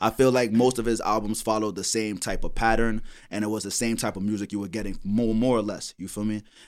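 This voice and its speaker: Talking at a very fast pace, a man with a fairly low pitch keeps a monotone, flat intonation. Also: very clean recording, silent background. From New York, Brooklyn. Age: 20s. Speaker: rapper. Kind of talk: casual chat.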